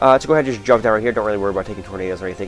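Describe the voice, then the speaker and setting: There is music playing behind a man as he talks. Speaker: gaming video commentator. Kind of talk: let's play commentary. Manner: fast; mumbling, poor enunciation.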